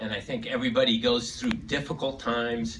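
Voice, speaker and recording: A man speaks at a moderate pace with fairly even intonation. Light background noise runs underneath. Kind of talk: speech. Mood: sentimental, heartfelt. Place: hall.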